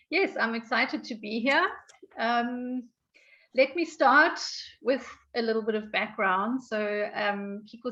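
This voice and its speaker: A woman speaks at a fairly slow pace with a bright, sharp tone. Her pitch varies in an ordinary way. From South Africa. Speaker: speech therapist and trainer. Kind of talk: online training tutorial.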